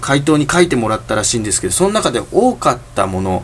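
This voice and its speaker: Noticeable background noise is present throughout. Over it, a man does the talking. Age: 20s. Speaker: solo podcaster. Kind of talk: casual monologue. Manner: halting.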